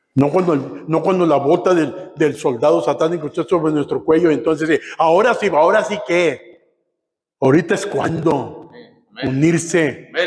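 Spoken in a northern Mexican accent, the voice is animated, with ordinary pitch variation and a fairly slow pace. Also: man, fairly high pitch for a man. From Matamoros, Mexico; Mexico. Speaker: pastor; preacher. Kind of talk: sermon. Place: church. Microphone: camera far.

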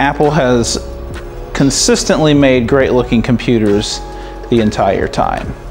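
The pace is moderate as this man talks. Behind him, faint music can be heard. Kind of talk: casual tour narration. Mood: enthusiastic. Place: home room. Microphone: phone near.

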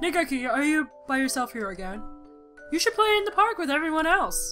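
In a put-on character voice, a woman talks at a fairly quick pace with a high pitch, big pitch swings and a bright, sharp tone, while faint music plays in the background.

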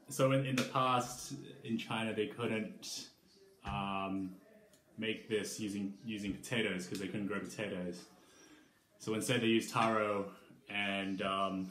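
Speaking at a fairly slow pace with long, frequent pauses, a man uses a fairly low pitch and fairly even intonation, with audible room echo and light background noise. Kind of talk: casual cooking tutorial. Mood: cheerful, relaxed. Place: kitchen.

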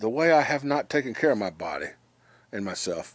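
A man speaks at a moderate pace with very wide pitch swings. The sound is dry with no echo over a quiet background. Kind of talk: casual vlog chat. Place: home room. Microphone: phone near.

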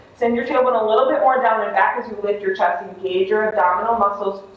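A woman's fairly high voice with audible room echo. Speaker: yoga instructor. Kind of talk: guided yoga and meditation class. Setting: online live video class. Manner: gentle, instructive, with long pauses.

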